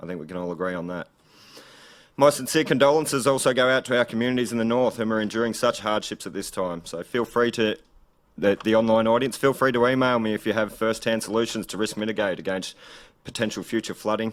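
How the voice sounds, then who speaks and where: A man with an Australian accent at a very fast pace, medium in pitch with ordinary pitch variation. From Gippsland, Victoria, Australia. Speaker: political candidate. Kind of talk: campaign speech. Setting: event hall with live audience and stream.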